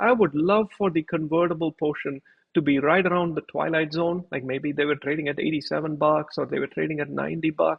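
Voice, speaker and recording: This man talks at a fairly quick pace in a fairly high pitch, using an ordinary speaking voice. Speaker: finance YouTuber. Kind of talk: tutorial.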